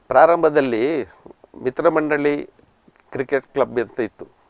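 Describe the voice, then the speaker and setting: In a normal speaking voice, a man with a fairly high pitch and ordinary pitch variation is recorded with a dry, close sound and no echo. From coastal Karnataka (Kinnigoli, Dakshina Kannada). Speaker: retired banker and former cricketer. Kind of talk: interview. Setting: studio.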